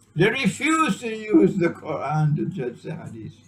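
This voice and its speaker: A man at a very slow pace, very wide pitch swings, noticeable background noise. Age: 70s. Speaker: Islamic scholar. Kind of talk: lecture. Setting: small private gathering. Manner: animated.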